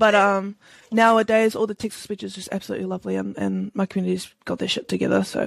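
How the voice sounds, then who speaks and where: Very fast speech comes from a woman with a New Zealand accent. The background is quiet. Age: 20s. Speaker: Twitch streamer. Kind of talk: casual interview chat.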